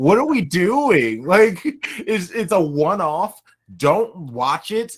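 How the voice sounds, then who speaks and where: With an American accent and an animated tone, a man speaks through very wide pitch swings and vocal fry. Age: 30s. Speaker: podcast host. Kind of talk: casual chat.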